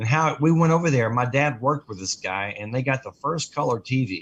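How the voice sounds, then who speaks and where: A man with an American accent talks at a moderate pace in a plain, everyday voice. The background is quiet. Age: 60s. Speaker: radio co-host, guitar business owner. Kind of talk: casual chat.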